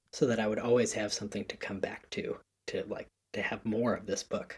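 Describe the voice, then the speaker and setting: A somewhat breathy man with an American accent, speaking at a moderate pace. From US Northeast, Connecticut. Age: 20s. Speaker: education founder, podcast guest. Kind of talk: casual interview. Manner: halting, many fillers.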